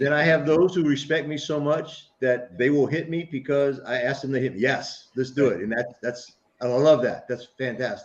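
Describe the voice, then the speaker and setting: With an ordinary speaking voice, a man talks at a moderate pace and a fairly high pitch, with hardly any pauses. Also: ordinary pitch variation. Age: 60s. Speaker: martial arts coach and veteran. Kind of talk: casual interview chat.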